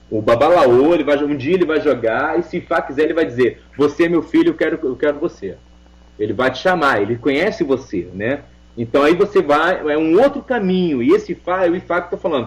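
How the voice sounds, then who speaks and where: With an unremarkable speaking voice, a man talks at a fairly quick pace. His pitch is fairly high and his intonation lively. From Portugal. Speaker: religious leader and oracle practitioner (Umbanda / Ifá cult). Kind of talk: radio interview answer.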